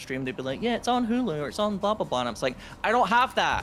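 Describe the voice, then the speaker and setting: This is a man speaking. His intonation is lively. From UK. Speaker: gaming streamer. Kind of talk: casual chat during co-op gameplay.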